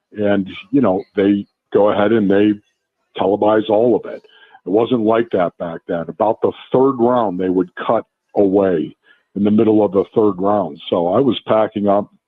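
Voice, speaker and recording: A man with a plain, everyday voice talks at a moderate pace, his pitch fairly low and his intonation fairly even. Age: 60s. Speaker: former NFL player and radio analyst. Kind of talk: casual radio interview. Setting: live radio broadcast from a restaurant.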